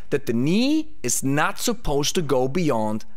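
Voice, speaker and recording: A man's fairly slow speech with very wide pitch swings. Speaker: fitness coach. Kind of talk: educational commentary. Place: studio. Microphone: studio mic.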